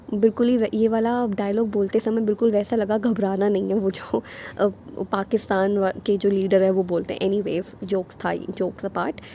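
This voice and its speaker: A soft-spoken woman talks at a medium pitch and a moderate pace, flat and monotone, with hardly any pauses. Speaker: online teacher for teaching exams. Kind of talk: lecture. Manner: soft-spoken, quiet.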